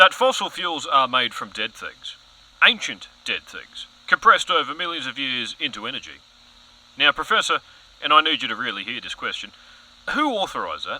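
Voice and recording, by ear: A man puts on a character voice, bright and sharp in tone, with big swings in pitch. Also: medium pitch for a man, moderate pace.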